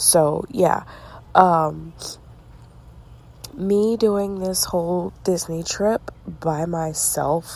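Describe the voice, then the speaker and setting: Whispering, a woman leaves long, frequent pauses between her words. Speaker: podcast host. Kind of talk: casual monologue.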